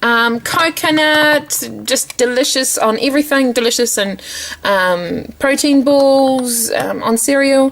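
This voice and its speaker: A woman with a New Zealand accent speaks at a very slow pace and a high pitch, with ordinary pitch variation, very even loudness and noticeable background noise. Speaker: lifestyle vlogger. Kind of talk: casual home tour vlog.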